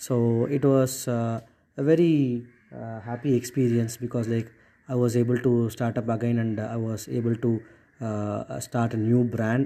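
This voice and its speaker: A man with a Tamil accent, a medium pitch, a dark, mellow tone, fairly even intonation and a moderate pace. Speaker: podcast host, entrepreneur. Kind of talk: solo podcast monologue. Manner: hesitant, many fillers.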